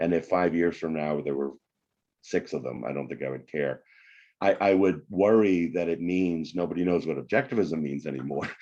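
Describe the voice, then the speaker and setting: Against a quiet background, a man speaks at a moderate pace with a very deep, low pitch and a dark, mellow tone. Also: ordinary pitch variation. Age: 60s. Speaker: economics professor and author. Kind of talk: podcast interview.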